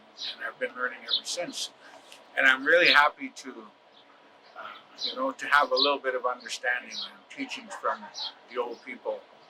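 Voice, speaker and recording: Noticeable background noise is present throughout. The speech has big swings in loudness and long, frequent pauses. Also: man. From northern Alberta, Canada. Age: 60s. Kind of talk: personal testimony. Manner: halting, many fillers.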